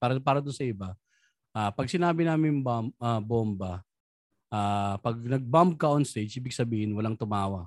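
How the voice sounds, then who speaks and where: In a very clean recording with a silent background and a dry, close, echo-free sound, a man with a medium pitch speaks at a fairly quick pace with lively intonation. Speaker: stand-up comedian. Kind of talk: casual chat. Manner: animated.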